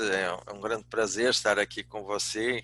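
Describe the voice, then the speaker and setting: A man with a Portuguese accent speaks fairly slowly at a fairly low pitch, with a bright, sharp tone and fairly even intonation. The recording is very clean, with a silent background. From Portugal. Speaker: business speaker, executive and professor. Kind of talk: lecture.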